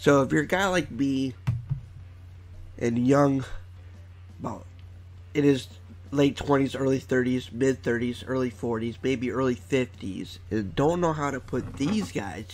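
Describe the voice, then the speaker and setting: A man at medium pitch speaking at a very slow pace with long, frequent pauses, music in the background. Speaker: online video creator. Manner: casual, chatty.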